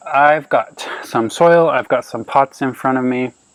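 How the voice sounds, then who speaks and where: Over noticeable background noise, a man speaks in a relaxed tone at a moderate pace. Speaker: plant care video host. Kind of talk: casual tutorial vlog. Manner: casual, relaxed.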